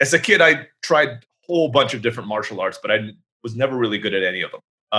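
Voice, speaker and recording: A man's normal speaking voice at medium pitch, lively in intonation, at a fairly quick pace. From Turkey (third culture kid, US father, Filipino mother). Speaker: entrepreneur and speaker. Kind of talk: interview.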